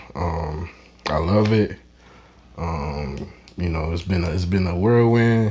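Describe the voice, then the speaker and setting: This man's voice is very deep and low, with ordinary pitch variation. It sounds somewhat breathy. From Saint Lucia. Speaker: cannabis club founder. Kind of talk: casual interview. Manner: laid-back.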